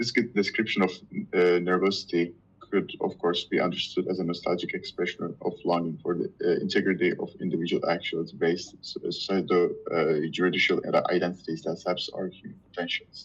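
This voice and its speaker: A man speaks with a Turkish accent. His pace is fairly quick. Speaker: reading group member. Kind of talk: reading aloud. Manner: halting.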